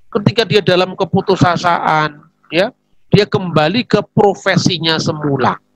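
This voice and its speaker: In a strong Javanese accent, a man speaks with a dry, close sound and no echo. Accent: strong Javanese accent in Indonesian. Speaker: theologian. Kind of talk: religious teaching talk. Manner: conversational, with fillers.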